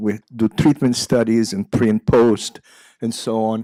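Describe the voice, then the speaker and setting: With an Israeli accent, this voice has a dark, mellow tone, a moderate pace, and a dry, close sound with no echo. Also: man. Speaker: psychiatry professor. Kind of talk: lecture. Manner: halting, many fillers.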